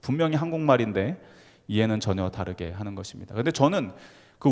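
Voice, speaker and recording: A man talks at a fairly quick pace in a Gyeongsang accent, his pitch swinging very widely. The recording is very clean, with a silent background. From Gyeongsang region, South Korea. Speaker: pastor. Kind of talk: sermon.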